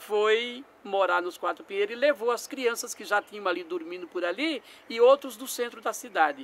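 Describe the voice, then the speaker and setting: Hardly any pauses interrupt this moderately paced speech. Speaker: community worker. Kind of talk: documentary interview.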